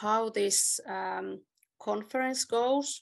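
The background stays quiet. A woman talks at a very slow pace. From Finland. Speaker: conference moderator. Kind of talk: conference moderation. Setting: video call. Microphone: video call.

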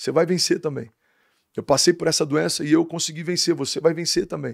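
A man talks at a very fast pace in a fairly high voice. The sound is dry with no echo, against a quiet background. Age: 30s. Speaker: pastor. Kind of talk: casual interview chat. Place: studio. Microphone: studio mic.

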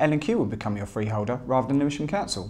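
The background is quiet as a man talks at a very fast pace. His intonation is lively. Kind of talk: interview answer. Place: home room. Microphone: lapel.

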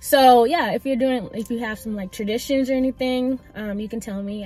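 Somewhat breathy, a woman talks at a fairly quick pace with ordinary pitch variation, in a dry sound with no echo. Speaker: vlogger. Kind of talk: casual vlog chat. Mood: warm, reflective. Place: car. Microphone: phone near.

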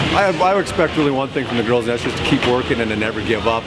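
A man is talking. Loud background noise fills the recording. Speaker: head coach of a girls hockey team. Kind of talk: post-game interview answer. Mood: pleased after a comeback win. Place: stadium.

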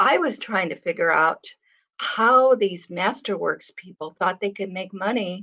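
A woman with a bright, sharp tone and ordinary pitch variation speaks fairly slowly against a quiet background. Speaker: artist and channel host; channel host. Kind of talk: casual chat. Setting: live stream video call. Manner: soft-spoken. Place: home room. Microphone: webcam.

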